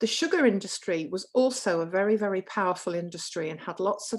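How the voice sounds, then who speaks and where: In a very clean recording with a silent background, a woman uses a normal speaking voice at a medium pitch and a fairly quick pace. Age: 60s. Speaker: nurse giving a health talk. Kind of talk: lecture.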